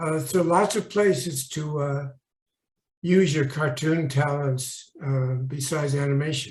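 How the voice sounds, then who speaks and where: In a room with audible echo, a man speaks at a fairly slow pace and a fairly high pitch, somewhat breathy, with ordinary pitch variation. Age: 90s. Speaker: animation layout artist. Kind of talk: interview. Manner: halting, many fillers.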